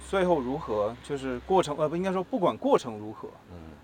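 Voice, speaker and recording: A man at a fairly quick pace with very wide pitch swings. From Taiwan. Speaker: advertising creative. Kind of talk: casual chat. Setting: outdoors, walking through the city. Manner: gentle, soft-spoken.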